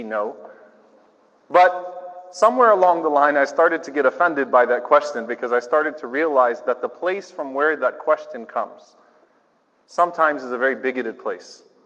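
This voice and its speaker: A man with an ordinary speaking voice talks at a fairly quick pace. His pitch is fairly high and his intonation lively. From US South, New Orleans. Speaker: imam. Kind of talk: speech. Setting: church with audience. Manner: conversational.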